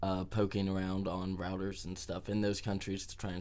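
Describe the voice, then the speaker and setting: A man with an American accent, very deep and low in pitch, at a moderate pace, with audible room echo. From US Midwest, Dayton, Ohio. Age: 20s. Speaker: activist and street musician. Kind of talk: interview.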